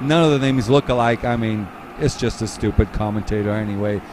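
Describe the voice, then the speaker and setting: A man talks at a moderate pace with ordinary pitch variation, and there is noticeable background noise. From Portugal. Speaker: race commentator. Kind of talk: live commentary.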